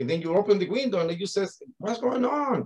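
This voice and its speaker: Here a man speaks with a Spanish accent. He keeps a moderate pace. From Spain. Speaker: coach of athletes, mindset coach. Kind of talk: casual interview chat.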